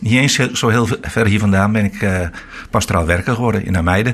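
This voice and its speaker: A man talks fairly quickly using a plain, everyday voice, his pitch varying in an ordinary way. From Netherlands, Veluwe (Harderwijk). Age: 60s. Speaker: retiring pastor. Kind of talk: radio interview.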